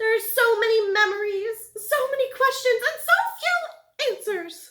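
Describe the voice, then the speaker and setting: A put-on character voice, female-sounding, shrill and squeaky at an extremely high pitch. It moves at a moderate pace. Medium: read story. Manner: curt, imperious.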